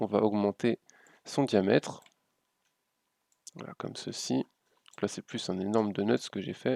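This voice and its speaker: A man speaks at a fairly low pitch with ordinary pitch variation. The recording is very clean, with a silent background. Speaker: graphic design tutorial youtuber. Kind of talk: software tutorial. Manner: fast; hesitant, many fillers.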